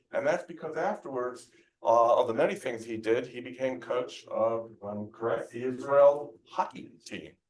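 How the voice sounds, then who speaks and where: This man has a plain, everyday voice at a medium pitch, speaking at a moderate pace. His intonation is lively, and his loudness swings widely. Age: 60s. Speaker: event host. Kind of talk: speaker introduction.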